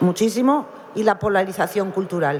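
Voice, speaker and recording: At a moderate pace and with ordinary pitch variation, a woman speaks over noticeable background noise. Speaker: novelist. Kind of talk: panel discussion.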